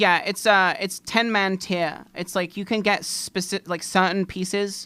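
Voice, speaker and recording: A woman's medium-pitched voice with an English accent, bright, sharp tone, fairly slow pace and monotone, flat intonation. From England. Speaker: streamer. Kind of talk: casual gaming live stream chat.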